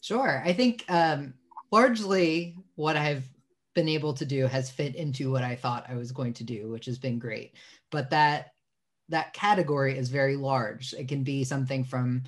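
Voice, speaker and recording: Against a quiet background, a man speaks at a moderate pace in a somewhat breathy voice. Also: ordinary pitch variation. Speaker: webinar guest. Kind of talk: interview answer. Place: home room. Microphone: video call.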